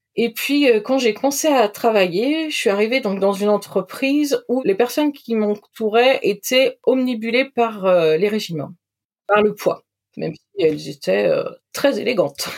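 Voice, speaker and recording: A normal speaking voice moves along at a fairly slow speed. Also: woman, fairly high pitch for a woman, lively intonation. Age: 40s. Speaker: podcast guest sharing recovery from eating disorder. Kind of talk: testimony.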